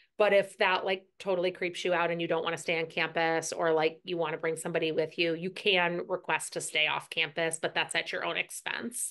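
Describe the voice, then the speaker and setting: A woman's fairly low-pitched voice at a fairly quick clip, hardly any pauses, flat monotone intonation, quiet background. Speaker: nursing school clinical director. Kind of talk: online information session presentation. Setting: video call. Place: home room. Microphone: video call.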